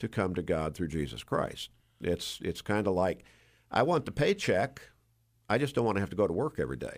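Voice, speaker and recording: With an American accent and vocal fry, a man talks at a fairly quick pace and a fairly low pitch, with very wide pitch swings. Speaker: church pastor. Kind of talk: Bible discussion interview. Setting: radio studio.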